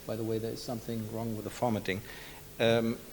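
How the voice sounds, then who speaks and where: This is a man speaking at medium pitch. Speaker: central bank statistician. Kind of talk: conference presentation. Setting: seminar with audience. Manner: halting, many fillers.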